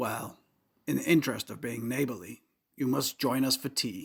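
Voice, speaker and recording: A man does a raspy put-on character voice at medium pitch. He keeps a moderate pace with ordinary pitch variation. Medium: audio drama. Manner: courtly, old-fashioned formality.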